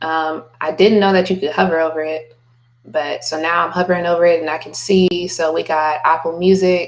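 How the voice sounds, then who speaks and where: A woman's fairly low voice, fairly quick in pace, with fairly even intonation. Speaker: music marketing tutor and artist. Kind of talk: screen-share tutorial. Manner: calm, monotone; casual, relaxed.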